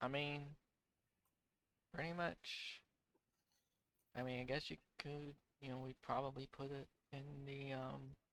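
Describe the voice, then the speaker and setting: A man's drawling put-on character voice at a medium pitch and moderate pace, broken by long, frequent pauses. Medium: actual play. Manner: casual, drawling, folksy.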